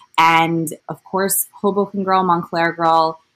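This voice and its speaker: A woman speaks at a moderate pace with a fairly low pitch. It is a plain, everyday voice. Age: 30s. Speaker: digital magazine editor. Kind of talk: interview.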